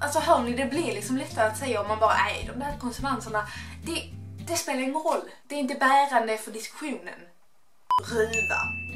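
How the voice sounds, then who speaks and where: A woman speaks with long, frequent pauses. Faint music plays in the background. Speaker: YouTube vlogger. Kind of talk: casual talk to camera. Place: home room. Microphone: camera far.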